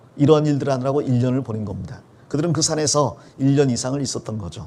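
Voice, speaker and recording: At a fairly quick pace, a man speaks at a medium pitch with ordinary pitch variation and a dark, mellow tone. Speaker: pastor. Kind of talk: sermon. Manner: explanatory, conversational.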